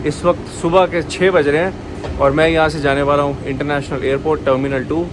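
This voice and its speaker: Amid audible room echo and noticeable background noise, a man with a fairly high pitch speaks in a flat, monotone way. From India. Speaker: travel vlogger. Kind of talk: casual vlog narration. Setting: on the move, taxi and airport. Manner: casual, conversational.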